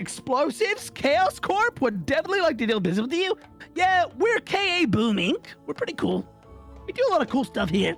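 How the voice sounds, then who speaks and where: Faint music plays in the background behind a put-on character voice. The delivery moves at a fairly quick pace. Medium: virtual streamer. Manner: goofy, boastful, rambling.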